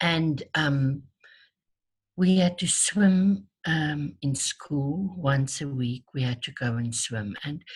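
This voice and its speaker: Somewhat breathy and very deep, low in pitch, a woman speaks at a very slow pace with lively intonation. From South Africa. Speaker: tapping therapy practitioner. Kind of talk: interview. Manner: hesitant, many fillers and repeats.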